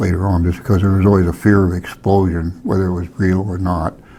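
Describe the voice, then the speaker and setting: A man speaks at a moderate pace in a very deep, low voice. His pitch varies in an ordinary way, and his tone is somewhat breathy. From Alaska, Palmer. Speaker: hunting guide and wildlife technician. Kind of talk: oral history interview. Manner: halting, with false starts.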